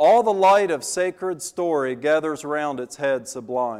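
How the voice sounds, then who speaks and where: Lively intonation runs through a man's speech, delivered at a fairly slow pace. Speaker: visiting preacher. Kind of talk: sermon. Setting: church service with congregation.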